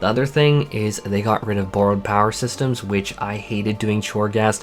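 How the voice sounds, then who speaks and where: Over noticeable background noise, a man speaks fairly quickly with a fairly low pitch and fairly even intonation. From Canada. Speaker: gaming YouTuber. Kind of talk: casual vlog monologue. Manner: stuttering.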